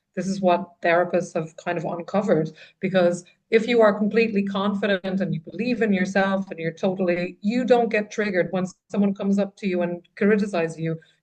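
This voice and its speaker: With an Irish accent, a woman talks at a fairly quick pace. Her pitch is medium and her intonation fairly even. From Ireland. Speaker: trauma writer and coach. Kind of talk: podcast interview.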